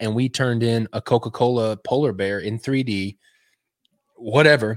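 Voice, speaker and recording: A man with a Texan accent speaks at medium pitch and a moderate pace, with ordinary pitch variation. The sound is dry and close with no echo, very clean with a silent background. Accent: Texan American. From West Texas. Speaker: illustrator and designer. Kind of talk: casual interview chat. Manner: halting, many fillers.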